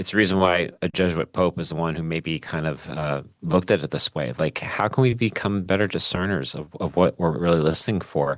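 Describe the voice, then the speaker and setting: Vocal fry runs through speech delivered at a fairly quick pace with ordinary pitch variation, the sound dry and close with no echo. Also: man, very deep, low pitch for a man. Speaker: podcast co-host. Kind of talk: casual conversation.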